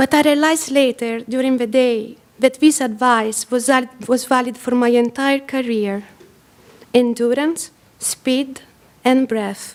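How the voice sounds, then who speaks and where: A woman with an Italian accent speaks fairly slowly in a high voice, her intonation fairly even, with noticeable background noise. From Italy. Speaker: photographer. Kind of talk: presentation. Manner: soft-spoken.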